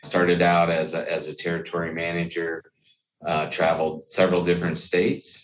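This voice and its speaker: At a fairly quick pace, a man with an American accent speaks in a very deep, low voice. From Iowa, US Midwest. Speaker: equipment product manager. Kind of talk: podcast interview. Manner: repetitive, stammering slightly.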